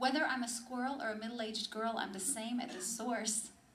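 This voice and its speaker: Against noticeable background noise, a woman with a fairly high voice speaks at a fairly quick pace. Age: 30s. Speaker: spoken word poet. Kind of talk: spoken word poetry performance to a live audience. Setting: live cafe audience.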